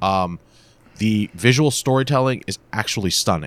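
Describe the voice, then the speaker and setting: With a normal speaking voice, a man speaks at a moderate pace and fairly low pitch in a dry, close sound with no echo. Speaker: comic book podcast co-host. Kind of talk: casual banter, comic book review. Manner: joking, playful.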